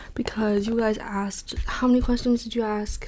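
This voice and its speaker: The speaker is soft-spoken yet animated in tone. Noticeable background noise is present. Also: woman. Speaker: ASMR content creator. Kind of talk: ASMR Q&A with soft-spoken triggers.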